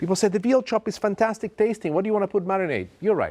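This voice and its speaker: An animated man with an Italian accent on a very clean recording with a silent background. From Italy. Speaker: TV chef. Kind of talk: cooking show presentation.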